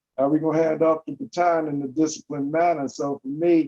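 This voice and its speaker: In a dry, close recording with no echo, a man speaks at a fairly quick pace with a fairly high pitch, a dark, mellow tone and monotone, flat intonation. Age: 60s. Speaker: panelist, former athlete. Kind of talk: panel discussion.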